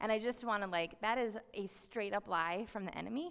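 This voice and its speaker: Her medium-pitched voice, a woman's, has ordinary pitch variation. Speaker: youth ministry worker. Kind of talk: sermon. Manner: fast.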